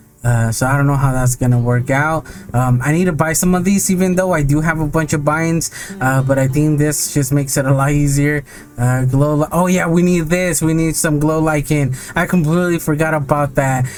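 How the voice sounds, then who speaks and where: A man talks at a fairly quick pace in a fairly high voice. His intonation is fairly even, his loudness very even, and background noise is noticeable. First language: not English. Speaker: gaming video creator. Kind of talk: gameplay commentary. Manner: casual, hesitant with many fillers.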